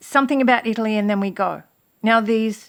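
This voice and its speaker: Recorded very cleanly against a silent background, a woman uses a plain, everyday voice at a fairly high pitch with fairly even intonation. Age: 60s. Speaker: religious video blogger. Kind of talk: casual monologue to camera.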